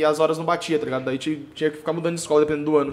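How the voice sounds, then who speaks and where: A fairly high-pitched male voice. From Brazil, São Paulo state (Sorocaba region). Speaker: funk singer. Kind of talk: casual chat.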